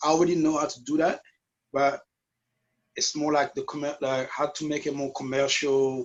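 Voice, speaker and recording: A man with a non-native accent speaks at a moderate pace and a fairly high pitch. His intonation is monotone and flat, with long, frequent pauses. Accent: noticeable foreign. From US, West Indian family from Guadeloupe. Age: 40s. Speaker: dance teacher and event promoter. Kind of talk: interview. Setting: video call. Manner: halting.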